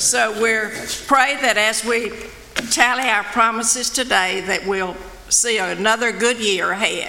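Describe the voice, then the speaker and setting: Against noticeable background noise, a woman talks at a fairly slow pace in a fairly high pitch with fairly even intonation. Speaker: missions committee member. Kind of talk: reading aloud. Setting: church.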